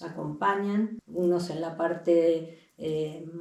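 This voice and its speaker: With fairly even intonation, a woman's voice stays fairly low in pitch. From Argentina, Buenos Aires. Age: 60s. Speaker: holistic healing center facilitator. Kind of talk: interview.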